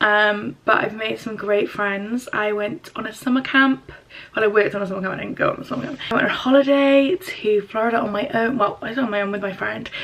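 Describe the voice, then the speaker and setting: Amid noticeable background noise, a woman speaks quietly at a fairly quick pace, her fairly high pitch varying in an ordinary way. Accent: English. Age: 20s. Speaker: YouTuber, university student. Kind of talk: casual vlog. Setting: at home. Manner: hesitant.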